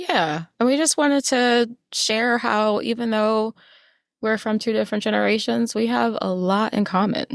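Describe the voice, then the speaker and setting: A woman speaks with a fairly high pitch and an American accent, her loudness very even. It's a normal speaking voice, with ordinary pitch variation at a moderate pace. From New York City. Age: 40s. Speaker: podcast co-host. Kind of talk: casual chat.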